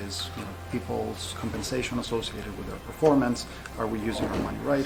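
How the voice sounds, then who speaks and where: A man at a fairly low pitch and fairly quick pace, with very wide pitch swings, audible room echo and music in the background. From Greece (Crete). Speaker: professor. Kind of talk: interview.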